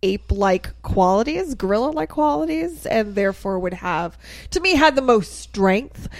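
This woman has an unremarkable speaking voice at a medium pitch, with lively intonation. The recording is very clean and the background silent. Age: 30s. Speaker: podcast host. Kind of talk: reading aloud; casual chat. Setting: studio.

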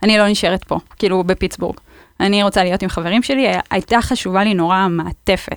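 A woman with a normal speaking voice talks at a fairly quick pace and medium pitch, her intonation fairly even. Her loudness is very even, and the sound is dry and close with no echo. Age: 30s. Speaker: cancer survivor. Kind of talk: casual podcast interview. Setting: studio.

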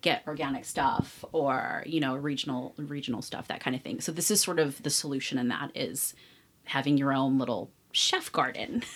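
Her voice is very deep and low for a woman. She speaks at a moderate pace with ordinary pitch variation. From San Francisco Bay Area. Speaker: food podcast host. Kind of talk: casual interview.

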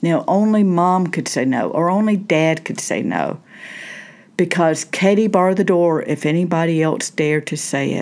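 A woman speaks in a Southern US accent. Her pitch is fairly low and her pace moderate. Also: ordinary pitch variation. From Southern United States. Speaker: minister and therapist, podcast host. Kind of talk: solo podcast talk on faith and self-help. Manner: conversational, with fillers.

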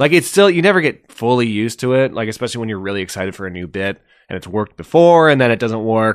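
Very fast and with hardly any pauses, a man speaks with a Canadian accent at a medium pitch, his intonation lively and his tone animated. His loudness swings widely, and the recording is very clean with a silent background. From Ontario, Canada. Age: 30s. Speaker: comedian. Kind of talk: casual chat. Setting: host's bedroom.

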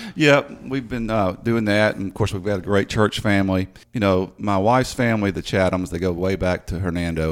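Very deep and low in pitch, a man speaks at a moderate pace with ordinary pitch variation. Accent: Mid-South US. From Memphis, Tennessee (Whitehaven area). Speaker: city attorney. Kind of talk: interview. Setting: studio.

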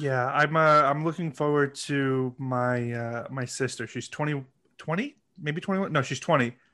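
Against a quiet background, a man with a fairly high pitch and a bright, sharp tone talks at a moderate pace with fairly even intonation. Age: 30s. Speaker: podcast guest. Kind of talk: casual chat.

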